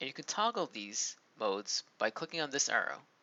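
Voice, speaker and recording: Very wide pitch swings mark this man's voice, which also has vocal fry. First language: Turkish. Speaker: software tutorial presenter. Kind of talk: tutorial.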